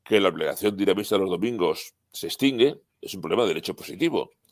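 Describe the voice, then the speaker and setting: On a very clean recording with a silent background, a man's speech moves at a moderate pace. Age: 60s. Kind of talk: interview.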